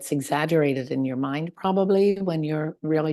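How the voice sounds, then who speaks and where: The woman's voice is very deep and low, with a dark, mellow tone and ordinary pitch variation. The sound is dry and close, with no echo. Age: 60s. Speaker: marathon runner. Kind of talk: interview answer.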